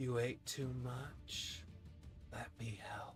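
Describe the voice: A put-on character voice growls at a low-to-middle pitch over clear music in the background.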